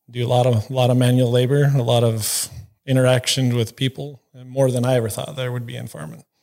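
Medium in pitch with a dark, mellow tone, a man speaks at a fairly quick pace, with big swings in loudness and fairly even intonation. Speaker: farm manager. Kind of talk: casual interview.

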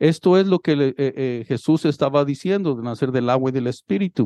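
A man's fairly high voice in a dark, mellow tone, at a moderate pace with ordinary pitch variation, in a dry, close sound with no echo. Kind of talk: sermon with scripture reading. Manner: bilingual, switching between English and Spanish, repeating each point in both languages; warm, exhortative, pastoral, audience-engaging, calling for responses.

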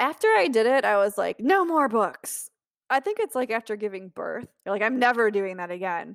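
In a very clean recording with a silent background and a dry, close sound with no echo, a woman with an American accent uses an ordinary speaking voice, fairly high pitch, lively intonation and a moderate pace. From Ohio, US Midwest. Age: 40s. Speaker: travel writer. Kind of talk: interview.

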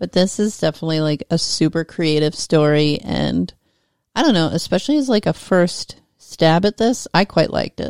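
On a very clean recording with a silent background and a dry, close sound with no echo, a woman speaks at a moderate pace in a fairly low, animated voice with lively intonation. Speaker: podcast co-host. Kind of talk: casual comedic chat. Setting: home studio. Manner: animated, joking.

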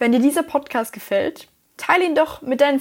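A woman at a moderate pace, on a very clean recording with a silent background. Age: young. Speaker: student podcaster. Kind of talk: scripted narration.

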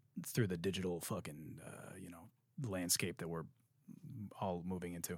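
This very clean recording with a silent background features a man speaking. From Detroit. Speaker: podcast host and songwriter. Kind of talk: podcast outro; casual chat.

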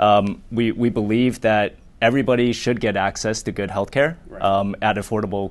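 Over a quiet background, a man with an American accent and an ordinary speaking voice talks at a moderate pace, his fairly low pitch carrying fairly even intonation. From southern California (Orange County). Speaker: biotech company executive. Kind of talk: interview. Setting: studio with small live audience.

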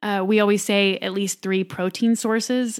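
A woman with a plain, everyday voice, medium pitch and fairly even intonation at a fairly slow pace, on a very clean recording with a silent background. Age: 30s. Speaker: stay-at-home mom and macro coach. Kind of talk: casual interview chat. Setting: in the host's home.

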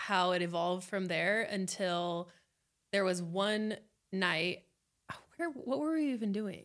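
At a fairly slow pace, a woman with a plain, everyday voice speaks at medium pitch with ordinary pitch variation and very even loudness. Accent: American. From Las Vegas, US. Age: 20s. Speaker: podcast host, accountant. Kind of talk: casual chat.

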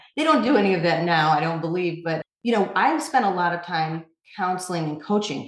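A woman with an American accent speaks at a fairly quick pace in a fairly low pitch, her intonation lively, in a plain, everyday voice. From upstate New York. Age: 40s. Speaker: magazine founder and editor. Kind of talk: interview.

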